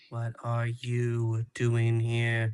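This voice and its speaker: A man uses a put-on character voice at a medium pitch. His intonation is monotone and flat. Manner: flat, emotionless.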